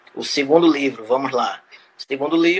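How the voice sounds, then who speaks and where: A man, with noticeable background noise. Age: 20s. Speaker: journalist and author. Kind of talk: interview. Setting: live stream.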